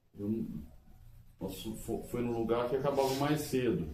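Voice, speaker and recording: Through audible room echo, a man with a dark, mellow tone and medium pitch speaks at a fairly slow pace with ordinary pitch variation. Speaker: couple channel co-host. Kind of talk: casual chat.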